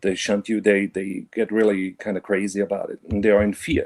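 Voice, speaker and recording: Dark, mellow tone at a moderate pace, with a German accent, in a very clean recording with a silent background and a dry, close sound free of echo. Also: man. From Germany (Bavaria). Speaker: caller. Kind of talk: casual chat. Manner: halting, many fillers.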